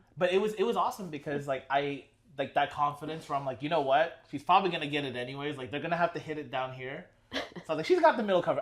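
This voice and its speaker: Over noticeable background noise, a man with a fairly high pitch talks very fast, with ordinary pitch variation and big swings in loudness. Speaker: podcast host. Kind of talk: casual chat. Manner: animated.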